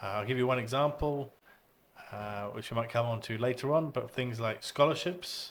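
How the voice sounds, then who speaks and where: A man in a British accent at a moderate pace, with ordinary pitch variation. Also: medium pitch for a man. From UK. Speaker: English education expert. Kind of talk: podcast interview. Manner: hesitant fillers.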